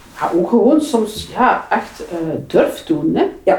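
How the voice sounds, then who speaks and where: A woman talks with very wide pitch swings. Noticeable background noise runs behind her. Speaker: public transport manager. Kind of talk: interview. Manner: halting.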